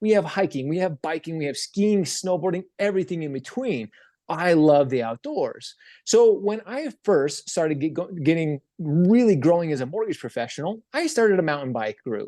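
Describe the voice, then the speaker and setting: Here a man speaks with a high pitch and a dark, mellow tone. His pitch swings very widely over a quiet background. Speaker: social media speaker and former mortgage professional. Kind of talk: keynote talk to live audience. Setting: stage with audience. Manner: fast; stumbles over words.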